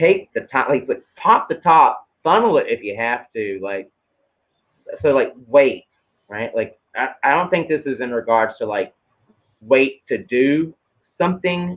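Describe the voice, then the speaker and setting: A man with a Southern US accent speaks at a fairly slow pace in a fairly high pitch. His pitch swings very widely, and he leaves long, frequent pauses. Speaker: tarot card reader. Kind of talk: casual chat. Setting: live video stream.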